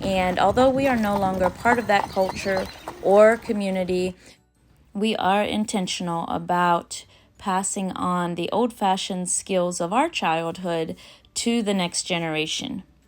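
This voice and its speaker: An American-accented woman speaks at a fairly slow pace with ordinary pitch variation. Music plays in the background. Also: medium pitch for a woman. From Old Order Mennonite community, US. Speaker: homesteader. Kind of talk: homestead vlog voice-over.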